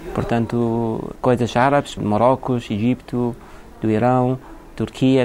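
A man speaks at medium pitch in a plain, everyday voice. His intonation is fairly even. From Iraq, later England. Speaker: shop owner. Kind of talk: interview.

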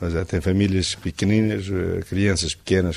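A man's very deep, low voice moves at a moderate speed. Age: 60s. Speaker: sawmill owner. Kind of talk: interview.

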